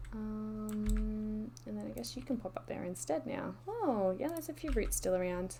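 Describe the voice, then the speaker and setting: A woman talks at a moderate pace with hardly any pauses. Audible room echo is present. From Australia. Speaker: video game streamer. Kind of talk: gameplay commentary. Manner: casual, chatty with many fillers.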